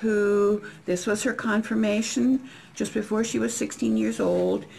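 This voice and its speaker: In an Upper Midwest accent, the speaker goes at a fairly slow pace with very even loudness. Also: woman. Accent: Upper Midwest American. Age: 70s. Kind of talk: family history interview answer.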